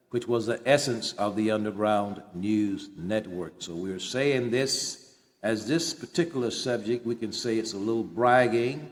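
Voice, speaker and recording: A man's plain, everyday voice, medium in pitch, at a fairly slow pace with hardly any pauses. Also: ordinary pitch variation. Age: 60s. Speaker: author and independent journalist. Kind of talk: personal monologue.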